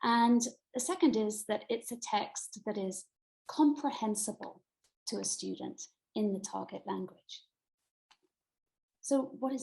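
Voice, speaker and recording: At a fairly slow pace with long, frequent pauses, a woman with a British accent speaks fairly high, with vocal fry, a dark, mellow tone and ordinary pitch variation. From Britain. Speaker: middle school Latin teacher and author. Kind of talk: online presentation. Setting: video call.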